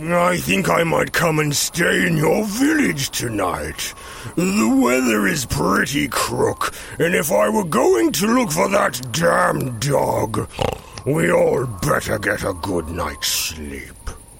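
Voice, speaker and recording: A man uses a put-on character voice at a very slow pace. Background noise is clearly audible. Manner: slow, thoughtful, patient.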